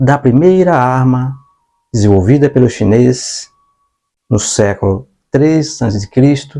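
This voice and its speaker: The voice belongs to a man and has a dark, mellow tone. Its pitch moves in an ordinary way. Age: 60s. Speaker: online teacher. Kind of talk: lecture. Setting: home studio with whiteboard.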